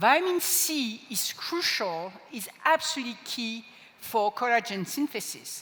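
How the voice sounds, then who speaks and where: Against noticeable background noise, a woman with a French accent speaks fairly slowly at a fairly high pitch, her voice making very wide pitch swings. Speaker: product trainer. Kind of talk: product training presentation.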